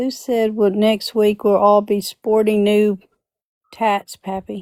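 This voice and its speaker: A woman with a Southern US accent talks at a very slow pace and a fairly high pitch, in a dry, close sound with no echo. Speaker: live stream host. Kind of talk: casual chat. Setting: live stream. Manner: animated.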